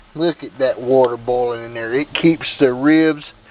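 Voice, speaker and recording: Noticeable background noise behind a male voice at a moderate pace. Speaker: grilling video host. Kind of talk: casual cooking demonstration. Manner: casual, folksy.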